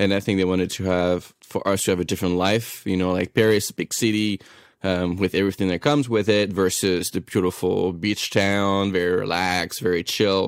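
Delivered in a French accent at a fairly quick pace, the speech has fairly even intonation and hardly any pauses on a very clean recording with a silent background. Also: man, very deep, low pitch for a man. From France. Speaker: chef. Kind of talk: casual interview chat.

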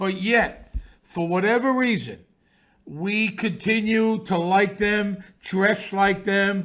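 Speaking at a very slow pace in a New York accent, the voice shows ordinary pitch variation. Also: man. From Brooklyn, New York. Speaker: author and podcaster. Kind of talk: casual interview. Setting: remote from New York City.

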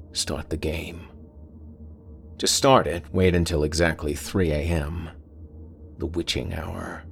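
Very deep, low male voice with a menacing tone, fairly even intonation and a very slow pace, long, frequent pauses, and music in the background. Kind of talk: horror story monologue. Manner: menacing, taunting.

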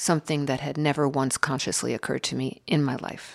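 A woman speaks at a fairly quick pace with vocal fry and a very deep, low pitch, on a very clean recording with a silent background. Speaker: writer. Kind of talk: interview.

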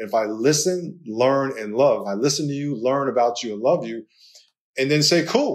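A man with a New York accent talks at a moderate pace and medium pitch, with ordinary pitch variation and big swings in loudness. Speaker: pastor and author, former football player. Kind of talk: interview conversation.

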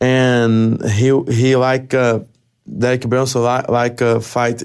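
A man speaks very slowly in a Brazilian accent. His medium-pitched voice stays flat and monotone. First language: Portuguese. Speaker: mixed martial arts fighter. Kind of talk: interview. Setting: studio. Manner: halting.

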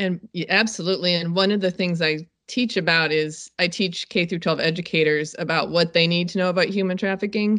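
This woman has an unremarkable speaking voice with fairly low pitch. She talks at a moderate pace with fairly even intonation. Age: 50s. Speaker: safety expert and documentary producer. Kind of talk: interview.

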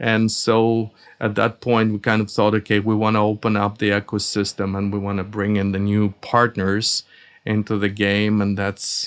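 Speaking with a Russian accent at a fairly slow pace, a man uses a fairly low, flat, monotone voice on a very clean recording with a silent background. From Soviet Union, emigrated to US at 14. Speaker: audio company founder and engineer. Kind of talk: interview. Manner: halting, with fillers.

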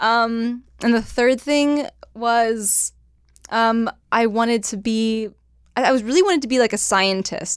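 The speaker, with a Californian accent, talks very slowly with ordinary pitch variation on a very clean recording with a silent background. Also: woman, fairly high pitch for a woman. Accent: Californian, West Coast. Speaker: podcast host. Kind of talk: casual chat.

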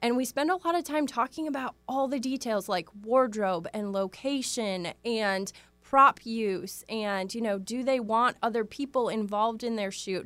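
A woman speaks in an ordinary speaking voice with an American accent, fairly high pitched, at a fairly slow pace with ordinary pitch variation, on a very clean recording with a silent background. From US Midwest, Wisconsin. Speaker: branding photographer. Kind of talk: interview.

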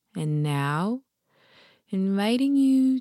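Speaking at a very slow pace, a woman swings her pitch very widely on a very clean recording with a silent background. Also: dry, close sound with no echo. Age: 30s. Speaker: meditation teacher. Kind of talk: guided meditation; casual chat.

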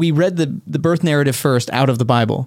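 A man with a normal speaking voice and an American accent, fairly high in pitch, ordinary in pitch variation, at a fairly quick pace. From Texas. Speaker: podcast co-host. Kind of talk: casual chat.

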